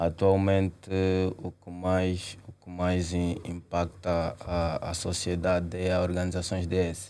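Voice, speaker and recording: Speaking in an Angolan accent, a man with a very deep, low pitch and dark, mellow tone talks at a very slow pace in a flat monotone. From Angola, Luanda. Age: 20s. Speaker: young entrepreneur, company CEO. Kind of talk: interview.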